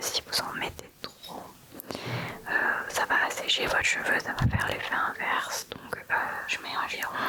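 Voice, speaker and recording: Someone whispers at a fairly slow pace. Noticeable background noise can be heard. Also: woman. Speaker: ASMR content creator. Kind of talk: casual ASMR chat talking to the camera about her travel bag and skincare. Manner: whispered, soft-spoken.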